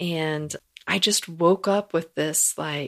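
On a very clean recording with a silent background and a dry, close sound with no echo, a woman speaks in a plain, everyday voice, fairly low in pitch with ordinary pitch variation. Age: 40s. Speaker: podcast co-host and beauty and transformational coach. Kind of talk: casual chat. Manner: laughs often.

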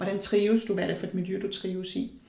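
A woman speaks with audible room echo. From Denmark. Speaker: palm analyst. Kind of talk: interview. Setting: at guest's home.

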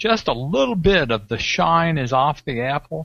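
Here a man with a plain, everyday voice speaks at a fairly high pitch and a moderate pace. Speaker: tech show guest. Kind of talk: casual banter. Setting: video call.

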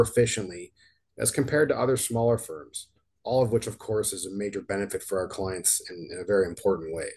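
A man speaks with a Canadian accent at a fairly quick pace. His voice is fairly low and somewhat breathy. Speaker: financial advisor and podcast host. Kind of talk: scripted announcement. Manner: monotone.

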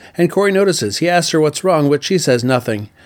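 Over a silent background in a very clean recording, a man with an unremarkable speaking voice talks in a fairly high pitch with lively intonation. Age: 50s. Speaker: TV review podcaster. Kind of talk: solo podcast review monologue; episode plot recap.

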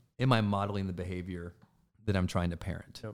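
A man with a Midwestern US accent speaks at a fairly low pitch and with fairly even intonation, recorded very cleanly against a silent background. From Michigan (Flint), US Midwest. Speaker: performance and team culture coach. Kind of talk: casual interview chat. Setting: office studio.

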